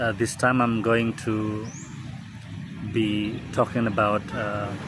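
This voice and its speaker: Over noticeable background noise, a man with an Indonesian accent speaks very slowly in a monotone, flat intonation. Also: fairly low pitch for a man. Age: 40s. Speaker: vlogger. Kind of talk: casual monologue. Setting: outdoors in a park. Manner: halting, many fillers.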